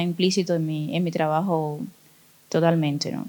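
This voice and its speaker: A woman's fairly low, monotone, flat voice in a Cuban accent. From Cuba, Cienfuegos. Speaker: visual artist. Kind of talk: interview. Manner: halting, many fillers.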